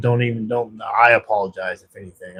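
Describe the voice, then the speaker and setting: This male voice sits at a medium pitch. There is some breathiness to it. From Texas. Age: 40s. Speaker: livestreamer in addiction recovery. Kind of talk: casual livestream chat. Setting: at work, night shift. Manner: warm, casual.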